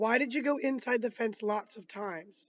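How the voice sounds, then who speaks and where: A raspy, put-on character voice moves at a moderate pace, with ordinary pitch variation and big swings in loudness. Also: woman. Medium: read story. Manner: measured, formal.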